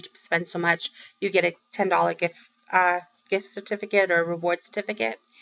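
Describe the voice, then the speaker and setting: This woman has a fairly low pitch and a Boston accent. She speaks at a fairly quick pace. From Massachusetts, Boston area. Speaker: crafting vlogger. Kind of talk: casual vlog update. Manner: chatty, many fillers.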